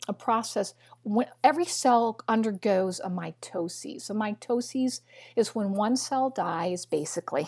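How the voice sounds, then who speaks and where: A woman with a Midwestern American accent talks fairly slowly in a fairly high, somewhat breathy voice with a dark, mellow tone and lively intonation. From US Midwest, Missouri. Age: 60s. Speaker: biochemist and nutritionist. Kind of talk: interview.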